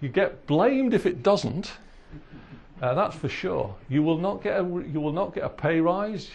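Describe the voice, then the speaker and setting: A man speaks at a high pitch. His pace is fairly slow. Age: 60s. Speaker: retired engineer, visiting professor. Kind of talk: lecture. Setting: stage with audience. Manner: halting.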